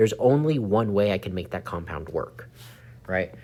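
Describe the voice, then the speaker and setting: At a moderate pace, a man talks in a fairly low pitch with a normal speaking voice. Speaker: chemistry teacher. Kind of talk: tutorial.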